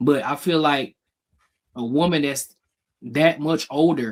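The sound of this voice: Talking at a slow pace, a man uses a fairly high pitch with ordinary pitch variation.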